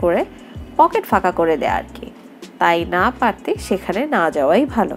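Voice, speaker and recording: Over music in the background, a woman talks with very wide pitch swings. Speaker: travel vlogger narrator. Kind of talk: travel vlog narration.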